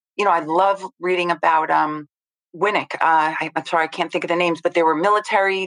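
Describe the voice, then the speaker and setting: A woman speaks at medium pitch and a moderate pace in a normal speaking voice. Her intonation is fairly even, and the sound is dry and close with no echo. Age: 50s. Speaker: paper salesperson in family business. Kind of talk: casual chat.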